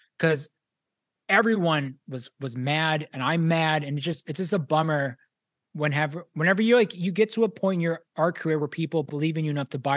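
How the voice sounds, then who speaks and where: A man with an American accent speaks at a fairly quick pace in a fairly high voice with ordinary pitch variation. The sound is dry and close with no echo, and the background is quiet. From Pittsburgh area, western Pennsylvania. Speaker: pop artist and toy designer. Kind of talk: casual interview.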